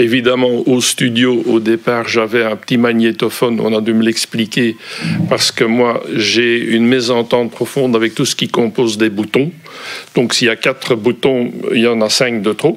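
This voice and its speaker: Against noticeable background noise, a man with a strong Brussels accent talks at a medium pitch in a monotone, flat intonation and very even loudness. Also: moderate pace. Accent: Brussels accent, fairly strong. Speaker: volunteer. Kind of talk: interview. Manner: hesitant, many fillers.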